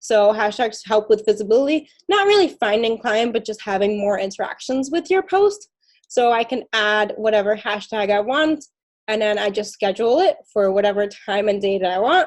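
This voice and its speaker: Her pitch is fairly high. This woman's voice shows ordinary pitch variation. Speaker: social media coach. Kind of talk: tutorial. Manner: fast.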